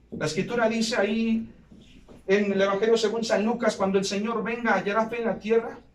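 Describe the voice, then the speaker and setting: A man's high-pitched voice at a fairly quick pace, fairly even intonation, and audible room echo. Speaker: pastor. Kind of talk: sermon. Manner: occasional stutter; impassioned preaching.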